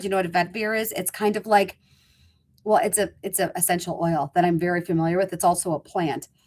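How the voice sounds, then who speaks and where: A woman of medium pitch speaks in an animated tone, recorded very cleanly against a silent background. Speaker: cosmetics sales leader. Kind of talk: product presentation video.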